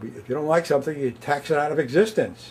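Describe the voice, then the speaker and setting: A man's somewhat breathy, fairly high voice at a fairly quick pace, with ordinary pitch variation. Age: 70s. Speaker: public access TV host and activist. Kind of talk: solo monologue to camera. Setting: studio. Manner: halting.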